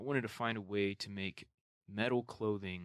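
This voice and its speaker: Here a man has an ordinary speaking voice, fairly low in pitch. The sound is dry and close with no echo, on a very clean recording with a silent background. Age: 20s. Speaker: podcast host. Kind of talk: solo monologue. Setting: home room. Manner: casual, filler-heavy.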